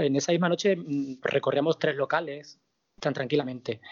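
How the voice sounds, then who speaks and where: Fairly high for a man, this voice is an unremarkable speaking voice. His pitch varies in an ordinary way. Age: 40s. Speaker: drag performer. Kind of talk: casual interview.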